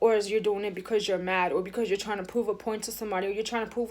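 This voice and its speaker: A woman is heard on a very clean recording where the background is silent. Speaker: tarot reader. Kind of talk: tarot reading. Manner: fast.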